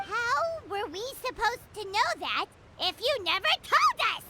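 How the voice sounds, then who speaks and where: An extremely high, put-on character voice at a moderate pace, with clear background noise. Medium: video game. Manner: loud, indignant.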